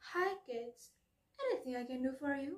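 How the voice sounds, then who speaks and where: Using a put-on character voice, a woman talks at a moderate pace in a high pitch. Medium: read story. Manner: mocking, laughing.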